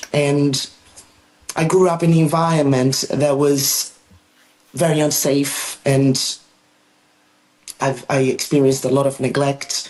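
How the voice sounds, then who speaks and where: A woman's very deep, low voice with a Portuguese accent, a fairly slow pace, and fairly even intonation. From Brazil, northern Amazon region. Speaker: therapist. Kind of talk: interview. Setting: podcast. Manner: halting, many fillers.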